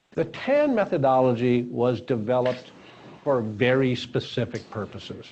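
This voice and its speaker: At a moderate pace, a man speaks at medium pitch with ordinary pitch variation, an unremarkable speaking voice. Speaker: founder and course speaker. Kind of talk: lecture.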